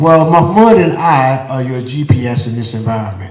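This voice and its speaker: Somewhat breathy with an American accent, the voice moves at a moderate pace with lively intonation and audible room echo. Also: man. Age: 60s. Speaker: community elder speaker. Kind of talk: panel discussion at live event. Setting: theater stage with audience.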